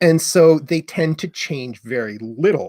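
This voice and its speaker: Here a man with an Ontario accent talks at a very slow pace, his pitch fairly high. His tone is dark and mellow, and the sound is dry and close with no echo. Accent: Canadian, Ontario, with Canadian raising. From Canada, Ottawa. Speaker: etymology educator and channel co-host. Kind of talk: live stream Q&A chat. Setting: live stream.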